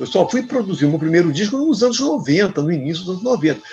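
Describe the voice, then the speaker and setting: Music plays in the background as a man with a high pitch swings very widely up and down. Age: 60s. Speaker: musician. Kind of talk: interview. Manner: halting.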